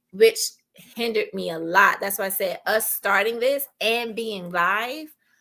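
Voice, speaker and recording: A woman speaks fairly slowly with ordinary pitch variation. Her fairly high voice has a bright, sharp tone. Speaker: podcast co-host. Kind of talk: casual chat. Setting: live stream. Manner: articulate.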